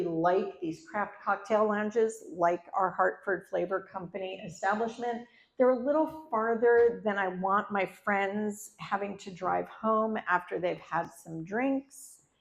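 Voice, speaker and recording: With an ordinary speaking voice, a woman goes at a fairly slow pace with hardly any pauses and ordinary pitch variation. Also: medium pitch for a woman. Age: 60s. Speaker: storyteller. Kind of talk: live storytelling performance. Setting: stage with audience.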